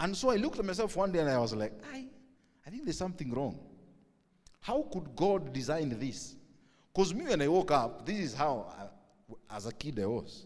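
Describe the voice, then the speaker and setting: A man with a Kenyan accent talks at a fairly quick pace and fairly high pitch, with long, frequent pauses. His pitch swings very widely, and vocal fry comes through. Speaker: pastor. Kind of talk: sermon. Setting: church. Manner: loud.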